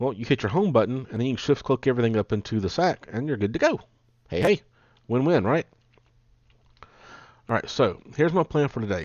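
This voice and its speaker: A man with a medium-pitched voice and an animated tone speaks at a fairly quick pace with lively intonation, broken up by long, frequent pauses. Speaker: gaming YouTuber. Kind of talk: gameplay commentary. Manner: fast; casual, animated.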